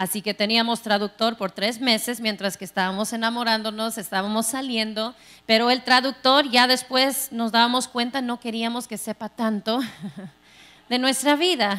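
A woman's bright, sharp voice moves at a moderate pace with fairly even intonation. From Texas. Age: 40s. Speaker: pastor. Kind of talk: sermon. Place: church. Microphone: handheld.

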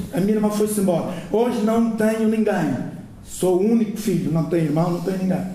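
Audible room echo surrounds a man speaking at a fairly quick pace. His pitch is high and his intonation fairly even. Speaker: audience member. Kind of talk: audience remarks. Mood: emotional, personal grief. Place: hall. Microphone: handheld.

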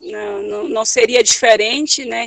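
Against a quiet background, a woman with a fairly high pitch talks at a fairly slow pace in a dry sound with no echo. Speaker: landless rural worker activist. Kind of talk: testimony. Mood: earnest, serious. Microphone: video call.

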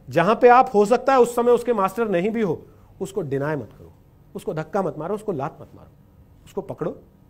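A man speaks at a moderate pace. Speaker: speaker. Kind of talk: motivational talk. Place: stage.

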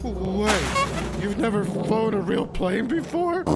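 A cartoonish character voice speaks at a fairly slow pace. Loud background noise runs behind it. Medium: puppet. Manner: worried.

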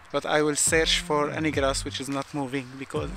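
With clear music in the background, a man's voice comes through dry, without any echo. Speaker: photography vlogger. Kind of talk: casual vlog chat. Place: open country. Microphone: phone near.

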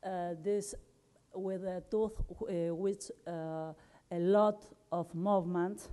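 A woman speaks at a very slow pace, medium in pitch, with fairly even intonation. Her pauses are long and frequent. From Argentina. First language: Spanish. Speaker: dentist and microbiology researcher. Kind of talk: conference talk. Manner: halting, with frequent fillers. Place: hall. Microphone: podium.

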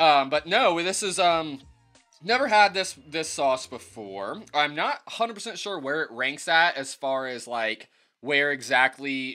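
Over faint background music, a man speaks at a very slow pace. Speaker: hot sauce reviewer. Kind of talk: casual vlog chat. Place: home room. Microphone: phone near.

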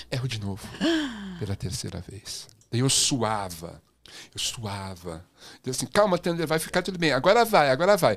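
A man speaks in an animated tone at medium pitch, with vocal fry and very wide pitch swings. His pace is moderate, broken by long, frequent pauses. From Brazil. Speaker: podcast host, former music TV presenter; podcast host, TV presenter. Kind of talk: casual chat. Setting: studio, live stream. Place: studio. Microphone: studio mic.

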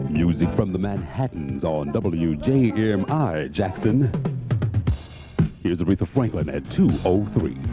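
Clear music plays behind a man who speaks at a fairly slow pace in a dry sound with no echo. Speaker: radio DJ. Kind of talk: radio DJ air check. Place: studio. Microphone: studio mic.

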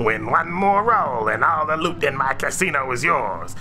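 A man's booming, put-on character voice, fairly high in pitch, at a moderate pace with clear background noise. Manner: sly, tempting.

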